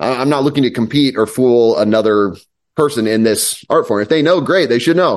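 Here is a man with an ordinary speaking voice, medium pitch and ordinary pitch variation. He speaks at a fairly quick pace with very even loudness against a quiet background. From US Midwest, southeast Kansas. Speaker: mentalist. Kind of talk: casual chat.

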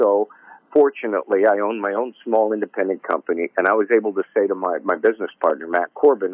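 A man with an American accent speaks at a moderate pace in an unremarkable speaking voice, with medium pitch and ordinary pitch variation. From Michigan, Detroit area. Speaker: music promotion executive. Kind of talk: casual interview chat.

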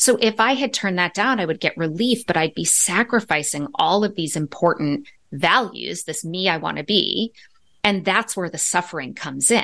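A woman's bright, sharp tone at medium pitch, with lively intonation, a moderate pace and a quiet background. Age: 50s. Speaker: psychologist and author. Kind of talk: interview.

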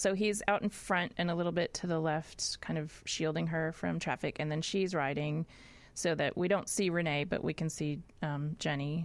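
On a very clean recording with a silent background, a woman with an unremarkable speaking voice talks at a moderate pace and fairly low pitch with fairly even intonation. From US South, Nashville, Tennessee. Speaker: film writer and director. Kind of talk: interview.

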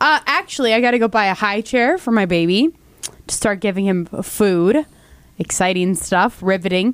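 A woman with a plain, everyday voice speaks at a moderate pace and a medium pitch. Her loudness stays very even, with ordinary pitch variation. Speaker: radio host. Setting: studio. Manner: playful, bantering.

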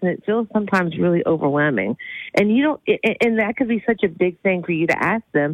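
A woman talks at a very fast pace and a medium pitch, with lively intonation and very even loudness. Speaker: therapist. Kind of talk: advice segment, casual chat.

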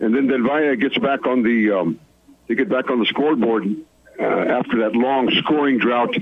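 A man's normal speaking voice at medium pitch, with ordinary pitch variation, a moderate pace and very even loudness. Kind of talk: live play-by-play game update from the stadium.

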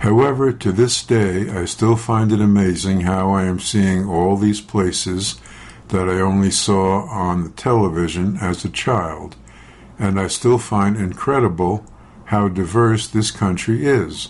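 A man with a plain, everyday voice talks at a fairly slow pace and fairly low pitch, with ordinary pitch variation. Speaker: news reader. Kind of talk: news reading.

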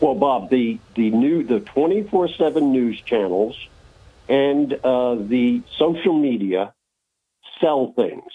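Speaking with an American accent at a very slow pace, a man uses a medium pitch and lively intonation. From Binghamton, New York. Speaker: regular caller. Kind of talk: humorous call-in banter. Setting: phone call. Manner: joking, rambling.

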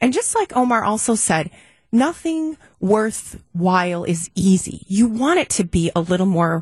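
A woman's somewhat breathy, medium-pitched voice at a fairly slow pace, with very wide pitch swings and very even loudness. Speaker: business advocate. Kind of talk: panel discussion.

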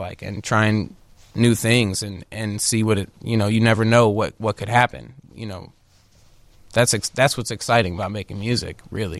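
In a very clean recording with a silent background, a man uses an ordinary speaking voice, fairly low in pitch, with fairly even intonation. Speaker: musician and composer. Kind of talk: casual interview chat.

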